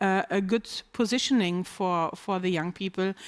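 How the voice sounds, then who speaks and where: Over a silent background in a very clean, dry and close recording with no echo, a speaker with a slight non-native accent talks at a moderate pace. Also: woman. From Germany. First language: German. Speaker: business executive. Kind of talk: panel discussion.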